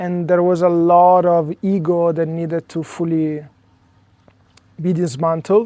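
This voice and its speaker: A man with an Italian accent talks at a fairly slow pace, with long, frequent pauses. His voice is high-pitched with a dark, mellow tone and monotone, flat intonation. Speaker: spiritual coach. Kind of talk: interview conversation. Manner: hesitant, many fillers.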